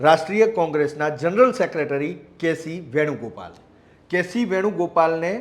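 A man speaks in a high pitch. His pitch varies in an ordinary way. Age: 40s. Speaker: news journalist. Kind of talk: news commentary report.

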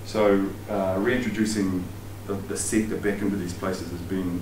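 Someone speaks in a New Zealand accent with monotone, flat intonation over noticeable background noise. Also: man. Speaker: sports psychologist and outdoor education presenter. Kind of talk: lecture. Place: meeting room. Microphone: camera far.

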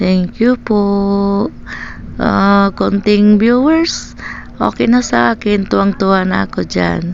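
A woman at a very slow pace, with noticeable background noise. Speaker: vlogger, stay-at-home mother. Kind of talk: casual vlog voiceover. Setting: at home. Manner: halting, stammering.

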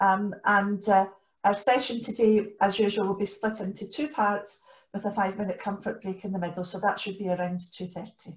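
A somewhat breathy woman's voice at a moderate pace. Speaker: co-leader hosting an online training session. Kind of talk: meeting housekeeping announcements. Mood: friendly and orderly. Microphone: video call.

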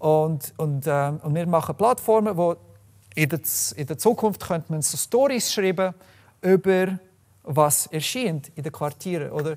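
Against a quiet background, the speaker uses lively intonation at a fairly slow pace. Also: man, high pitch for a man. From Canada, Calgary, Alberta. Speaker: software developer and open data activist; presenter. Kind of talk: presentation talk. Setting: room with live audience. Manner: halting, many fillers. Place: meeting room.

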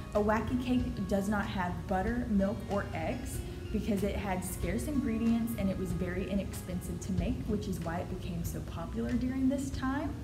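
Clear music can be heard behind the speaker. She is a woman speaking at a moderate tempo. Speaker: presenter. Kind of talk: casual presentation to camera. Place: office. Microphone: camera far.

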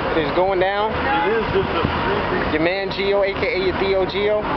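Over loud background noise, a man talks at a fairly slow pace. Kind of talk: casual vlog chat. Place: street. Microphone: phone near.

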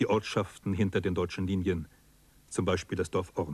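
A man's somewhat breathy, fairly low-pitched voice at a moderate pace. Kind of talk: documentary narration. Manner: formal, measured, sober; steady, authoritative delivery.

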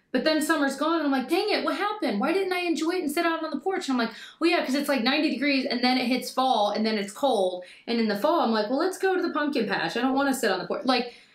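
A woman talks fast at a high pitch with lively intonation. The room echo is audible.

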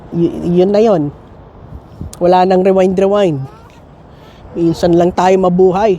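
Through noticeable background noise, a high-pitched man speaks in a monotone, flat way with long, frequent pauses. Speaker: nurse and family vlogger. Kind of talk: casual vlog chat.

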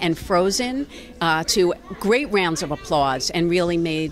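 Over faint background music, a woman with a fairly low pitch speaks at a fairly slow pace, the sound dry with no echo. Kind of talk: interview answer. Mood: upbeat, proud. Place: hall. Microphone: handheld.

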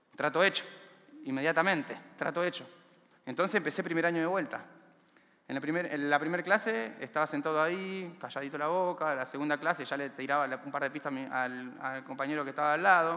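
A man with an Argentine accent, a bright, sharp tone and a fairly quick pace. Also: fairly high pitch for a man, ordinary pitch variation. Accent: Rioplatense Argentine Spanish. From Argentina, Buenos Aires area (villa La Cárcova, San Martín); Buenos Aires, Argentina. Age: 30s. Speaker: community library founder, former prisoner; speaker. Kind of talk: motivational talk; inspirational talk. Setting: stage with audience. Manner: halting, frequent repetitions. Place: stage. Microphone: headset.

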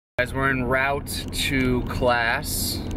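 Noticeable background noise sits under a man's voice, which sounds dry with no echo. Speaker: fitness vlogger. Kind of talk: casual vlog chat. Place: car. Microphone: phone near.

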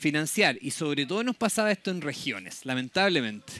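In a dry sound with no echo, a man's high, bright and sharp voice carries lively intonation. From southern Chile (Temuco); southern Chile. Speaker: public agency program manager. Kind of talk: conference talk. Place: tent.

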